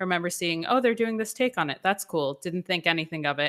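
In a very clean recording with a silent background, a woman speaks at a medium pitch in a bright, sharp tone with ordinary pitch variation. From US South, Atlanta (born New York). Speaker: stage actor. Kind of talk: interview.

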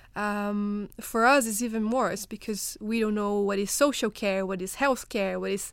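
A woman with a Portuguese accent talks at a fairly quick pace with fairly even intonation, recorded very cleanly against a silent background. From Brazil. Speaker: research fellow. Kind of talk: panel discussion.

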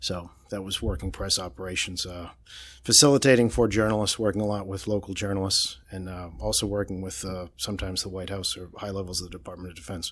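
In a Boston accent, a man with a very deep, low pitch talks at a very fast pace, with ordinary pitch variation and big swings in loudness, on a very clean recording with a silent background. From Boston, Massachusetts. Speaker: political reporter. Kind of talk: casual interview.

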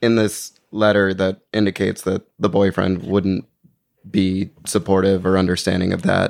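A man with a normal speaking voice, fairly low in pitch, at a moderate pace and very even loudness. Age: 20s. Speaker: podcast producer. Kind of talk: casual chat. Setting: studio.

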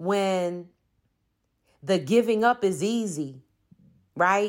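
A woman of medium pitch speaks very slowly with an American accent and ordinary pitch variation. The recording is very clean, with a silent background. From Philadelphia, Pennsylvania, US. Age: 50s. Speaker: diversity consultant. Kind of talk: personal monologue.

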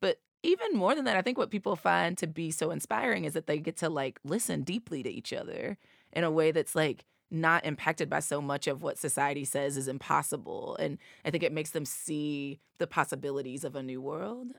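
A woman with an American accent speaks at a very deep, low pitch and a fairly quick pace. The recording is very clean, with a silent background and a dry, close sound with no echo. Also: lively intonation. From US South, East Tennessee. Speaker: nonprofit executive director. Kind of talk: interview.

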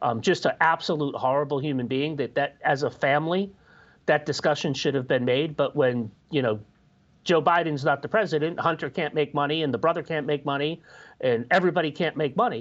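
A man's unremarkable speaking voice, fairly high in pitch with ordinary pitch variation, at a fairly quick pace over a quiet background. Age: 40s. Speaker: media commentator. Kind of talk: casual panel discussion.

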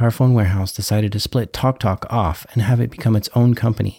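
This man's dark, mellow voice is somewhat breathy, with ordinary pitch variation and a dry, close sound free of echo, captured in a very clean recording over a silent background. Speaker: podcast host. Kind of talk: scripted narration.

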